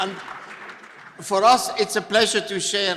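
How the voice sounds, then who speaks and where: Crowd noise fills the background as a man speaks with fairly even intonation. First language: not English. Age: old. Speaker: retired public health scientist. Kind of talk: panel introduction.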